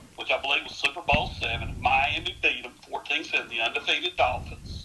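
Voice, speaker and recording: Southern US accent from a man, delivered at a fairly quick pace. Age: 60s. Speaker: sports historian. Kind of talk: podcast interview.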